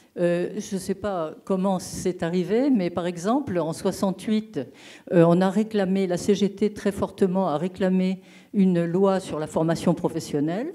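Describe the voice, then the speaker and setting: Very slowly and with ordinary pitch variation, a woman speaks in a dark, mellow tone over a quiet background. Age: old. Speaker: retired geographer. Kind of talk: audience question. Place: hall.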